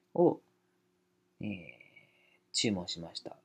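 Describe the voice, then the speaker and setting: A man talks with very wide pitch swings. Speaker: YouTuber. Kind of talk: casual chat. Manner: casual; halting.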